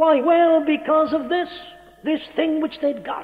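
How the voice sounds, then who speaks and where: Music sits in the background. Over it, a man talks at a fairly slow pace. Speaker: preacher. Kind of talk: church sermon. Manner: earnest, impassioned.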